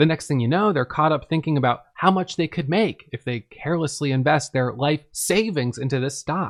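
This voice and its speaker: With an American accent, a man has a plain, everyday voice at a fairly high pitch. He talks at a fairly quick pace with lively intonation, the sound dry and close with no echo. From US Northeast, Vermont. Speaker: author and day trader. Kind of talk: audiobook narration of own book.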